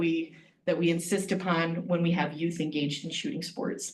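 Fairly quick and fairly low, a woman's voice carries ordinary pitch variation. Noticeable background noise can be heard. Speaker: extension district director. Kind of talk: meeting report. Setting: county board meeting.

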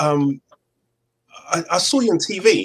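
A man talks with a London accent. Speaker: football podcast host. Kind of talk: casual chat. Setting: video call. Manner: animated. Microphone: video call.

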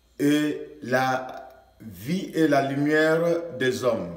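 A man speaks with a fairly high pitch. The background is quiet, but the room echo is audible. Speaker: pastor. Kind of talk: sermon. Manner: preacherly, fervent. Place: studio.

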